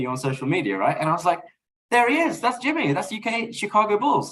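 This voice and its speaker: The speaker has a London accent. The pace is very fast. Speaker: podcast guest, basketball fan. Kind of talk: casual chat.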